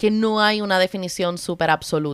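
The background is silent in this very clean recording. An unremarkable speaking voice talks at a moderate pace, its pitch varying in an ordinary way. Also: woman. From Puerto Rico, Cabo Rojo. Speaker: podcast co-host, anthropologist. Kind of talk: casual chat.

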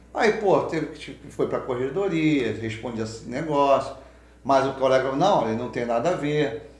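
Amid noticeable background noise and audible room echo, a man with a fairly high pitch speaks with lively intonation and big swings in loudness. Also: moderate pace. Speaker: police officer. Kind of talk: casual interview.

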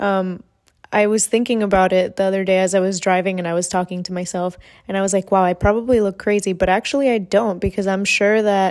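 This woman has an unremarkable speaking voice. She talks at a moderate pace and a medium pitch. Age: 20s. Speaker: podcast host. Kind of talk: solo monologue, casual chat. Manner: casual, with frequent fillers.

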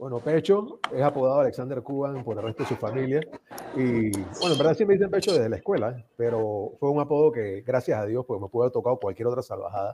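Very fast and lively in intonation, a man talks at medium pitch. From Panama. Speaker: association member, former national president. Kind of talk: casual chat. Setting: video call.

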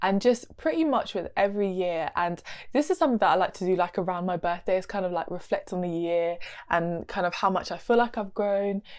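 At a fairly quick pace, a woman with an English accent speaks at a medium pitch with ordinary pitch variation, against a quiet background. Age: 20s. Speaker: podcast host and nutritionist. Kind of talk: solo casual chat.

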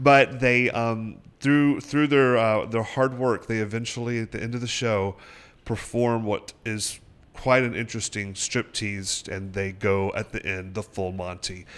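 This man talks at a fairly slow pace with fairly even intonation. He has a normal speaking voice. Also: medium pitch for a man. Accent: American. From upstate South Carolina (Sparkle City). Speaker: theater artistic director and actor. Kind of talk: radio interview. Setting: radio studio.

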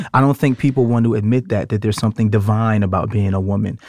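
A man speaks at a fairly low pitch. The sound is dry and close with no echo, a very clean recording with a silent background. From Brooklyn, New York. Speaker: podcast co-host. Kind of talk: casual chat. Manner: animated.

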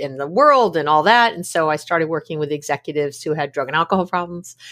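The speaker talks at a fairly quick pace on a very clean recording with a silent background. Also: woman. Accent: American. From New York City. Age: 50s. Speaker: psychologist. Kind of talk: casual interview.

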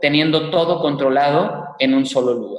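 Using a normal speaking voice, a man talks at a fairly slow pace and fairly high pitch. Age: 20s. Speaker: tech entrepreneur. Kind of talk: interview.

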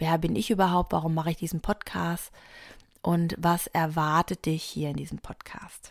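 A woman's low voice with vocal fry, little pitch movement and a moderate pace

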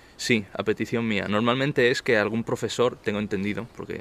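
A man with a plain, everyday voice talks at a fairly quick pace, his medium pitch showing ordinary variation. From Barcelona, Spain. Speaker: interview guest, law student. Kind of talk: casual interview. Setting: outdoor terrace.

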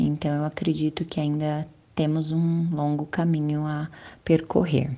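Female voice, very deep and low, at a fairly slow pace. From Brazil, Guarulhos (São Paulo). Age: 30s. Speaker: psychologist. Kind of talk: panel discussion.

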